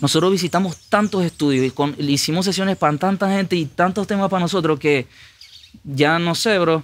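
A man with a high pitch talks at a fairly quick pace using ordinary pitch variation. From Venezuela. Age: 20s. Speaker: musician; guest. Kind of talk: casual chat. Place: studio. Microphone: studio mic.

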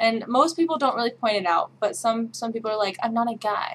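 Over light background noise, a woman with a Midwestern accent talks at a fairly high pitch. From Midwest, Kansas. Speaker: vlogger. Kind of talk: casual talk to camera. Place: home room.

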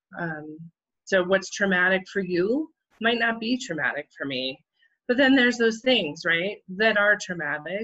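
Against a quiet background, the voice has a bright, sharp tone and lively intonation. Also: woman, medium pitch for a woman, moderate pace. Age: 50s. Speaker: therapist; guest. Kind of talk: interview. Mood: calm, thoughtful. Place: home room. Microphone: video call.

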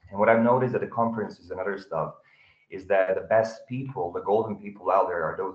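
Audible room echo colors a man's fairly quick speech over a quiet background. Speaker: audience member, salesperson. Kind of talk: audience question. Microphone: video call.

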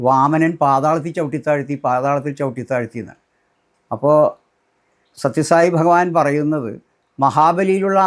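A man talks in a normal speaking voice at a fairly high pitch. His pitch variation is ordinary. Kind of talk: personal testimony.

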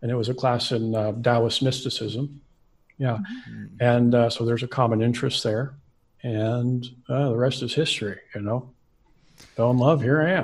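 Speaking with an American accent, a man sounds somewhat breathy and keeps his intonation fairly even. He moves at a moderate pace with long, frequent pauses. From Central Coast California. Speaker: astrologer. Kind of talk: interview. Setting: video call. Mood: relaxed, warm. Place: home room. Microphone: studio mic.

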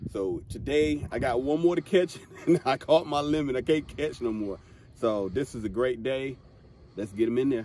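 Music plays in the background as a man talks at a moderate pace. His medium-pitched voice has lively intonation. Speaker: angler. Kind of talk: casual fishing vlog talk to camera. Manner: excited.

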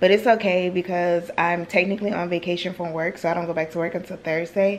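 With a fairly low pitch and a fairly quick pace, a woman speaks in a plain, everyday voice over light background noise. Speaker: vlogger. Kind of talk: casual vlog chat. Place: home room. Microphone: phone near.

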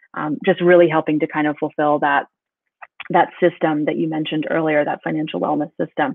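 A woman's very deep, low voice with an American accent, flat and monotone, at a fairly quick pace in a quiet, dry setting with no echo. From North Carolina. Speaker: business executive; guest. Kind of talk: interview. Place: home room. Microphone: webcam.

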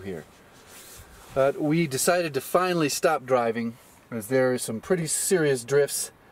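A man at a moderate pace with ordinary pitch variation, in dry sound with no echo. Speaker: vlogger. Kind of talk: casual vlog chat. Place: open country.

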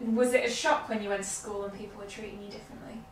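A woman with a fairly high voice speaks over light background noise, with audible echo in the room. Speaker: interviewer and educator. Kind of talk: casual interview. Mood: warm, engaged, animated. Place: home room.

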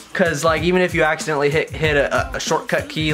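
A man at a very fast pace over clear music in the background. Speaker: channel host. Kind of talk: casual vlog chat. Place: home room. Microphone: camera far.

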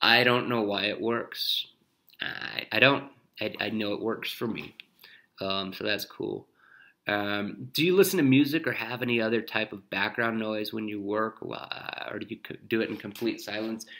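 A bright, sharp tone in an American accent, with ordinary pitch variation at a moderate pace. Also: man, medium pitch for a man. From Wyoming, US. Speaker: painter. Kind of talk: recorded monologue answering interview questions. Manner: halting, many fillers.

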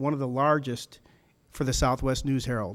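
A man talks at a fairly quick clip, his pitch fairly high with ordinary variation. The recording is very clean, with a silent background. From Chicago, after early childhood in Germany and US South. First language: German. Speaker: city council candidate and business owner. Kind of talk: candidate forum speech.

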